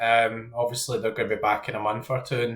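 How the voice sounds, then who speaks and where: A man speaks in a Scottish accent at a medium pitch. He goes at a fairly quick pace. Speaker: fantasy football content creator. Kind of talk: casual commentary while team building. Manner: hesitant, many ums.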